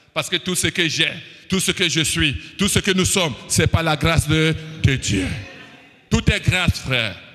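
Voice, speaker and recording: Noticeable background noise sits under the speech. The pace is fairly slow, with ordinary pitch variation. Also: man. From Cameroon. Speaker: preacher. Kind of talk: sermon.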